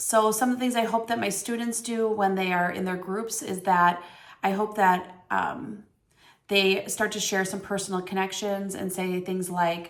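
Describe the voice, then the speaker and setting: Audible room echo surrounds a woman speaking at a medium pitch and a moderate pace with fairly even intonation. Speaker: teacher. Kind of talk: reflection on reading aloud. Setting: recorded on camera.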